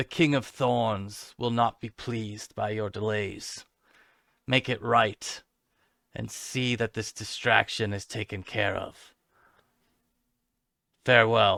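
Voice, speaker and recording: In a put-on character voice, a man growls in a raspy tone at a fairly slow pace, his intonation fairly even and his speech broken by long, frequent pauses, all in a dry, close sound with no echo. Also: medium pitch for a man, very clean recording, silent background. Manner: cold, threatening.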